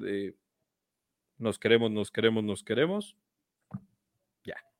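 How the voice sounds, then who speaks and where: Recorded very cleanly against a silent background, a man speaks at a medium pitch in a Mexican accent with a dry, close sound and no echo. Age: 30s. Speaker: football YouTuber. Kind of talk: casual chat.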